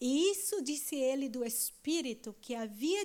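Speaking with a Brazilian accent, a woman talks at a fairly slow pace with lively intonation. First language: Portuguese (speaking German). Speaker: church member. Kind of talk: reading aloud. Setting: stage with audience.

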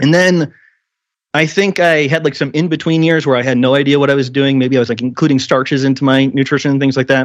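This man has a normal speaking voice, fairly high in pitch with ordinary pitch variation. The sound is dry and close, with no echo. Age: 30s. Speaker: health podcaster and coach. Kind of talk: casual interview.

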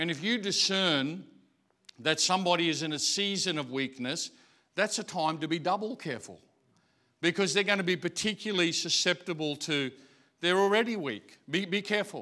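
A man with an Australian accent speaks in a high pitch with a bright, sharp tone. His pace is moderate, his pitch variation ordinary, and the recording very clean with a silent background. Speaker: pastor. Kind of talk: sermon. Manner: hesitant, filler-heavy.

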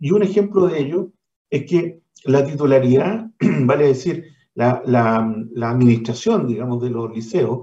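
Fairly high-pitched for a man yet dark and mellow in tone, his somewhat breathy voice moves at a fairly slow pace with lively intonation. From Chile, Valparaíso region. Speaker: education foundation director. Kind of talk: radio interview.

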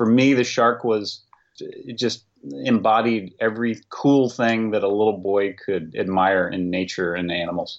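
In an ordinary speaking voice, a man talks at a fairly slow pace with a fairly low pitch and ordinary pitch variation. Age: 50s. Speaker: cartoonist. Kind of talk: casual chat.

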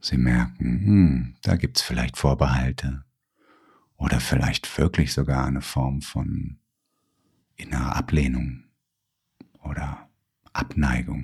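Spoken at a very slow pace with long, frequent pauses, the voice has a calm, soothing tone and fairly even intonation. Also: man, very deep, low pitch for a man. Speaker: therapist. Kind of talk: guided meditation. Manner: slow, calm, soothing, with long pauses; gentle, soft-spoken.

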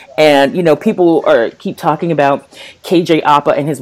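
At a moderate pace, a woman talks in a very deep, low pitch that varies in an ordinary way. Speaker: podcast co-host. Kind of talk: casual chat.

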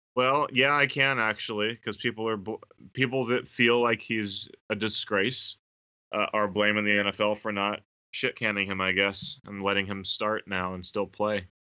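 Speaking at a moderate pace, the man has an ordinary speaking voice, fairly low in pitch, with fairly even intonation. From Northern California. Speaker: podcast co-host and substitute teacher. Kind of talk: casual chat.

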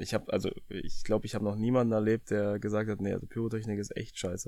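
A man's fairly even-toned voice on a very clean recording with a silent background. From Brandenburg, eastern Germany. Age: 30s. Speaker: professional footballer. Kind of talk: casual interview. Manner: halting, many fillers.

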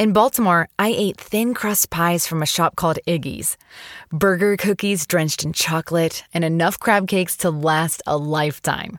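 A woman with an unremarkable speaking voice talks at a fairly low pitch and moderate pace with ordinary pitch variation, the sound dry and close with no echo. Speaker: story reader. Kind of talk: reading aloud a personal essay.

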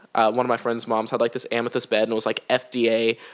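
A man with an American accent speaks at a medium pitch in an animated, playful tone. The recording is very clean, with a silent background. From United States. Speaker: podcast co-host. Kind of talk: casual chat.

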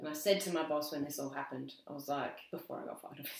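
A woman is speaking. She has an Australian accent. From South Australia. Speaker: graphic designer. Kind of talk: casual interview. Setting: at a kitchen table. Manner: halting.

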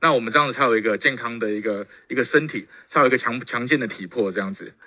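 Talking at a very fast pace, a man uses lively intonation. His tone is bright and sharp. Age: 30s. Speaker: professional wrestler. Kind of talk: testimony. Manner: halting, many fillers.

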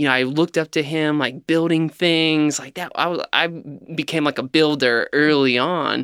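A man speaks at a moderate pace in a fairly high pitch, his tone bright and sharp, his intonation fairly even. The sound is dry and close with no echo, in a very clean recording over a silent background. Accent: American. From Ohio, near Cincinnati. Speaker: food company founder. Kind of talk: interview.

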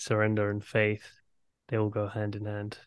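A man talks with a London accent, his pitch fairly low. The background is quiet. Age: 30s. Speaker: podcast host. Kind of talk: interview conversation.

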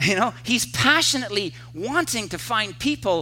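Audible room echo surrounds a man as he speaks. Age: 50s. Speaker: pastor. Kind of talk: sermon. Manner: halting.

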